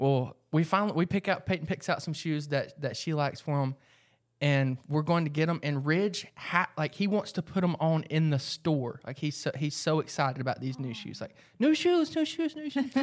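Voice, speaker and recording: This man has an American accent and a normal speaking voice, fairly high in pitch with ordinary pitch variation. He goes at a moderate pace on a very clean recording with a silent background. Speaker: mom, podcast co-host. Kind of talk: casual chat.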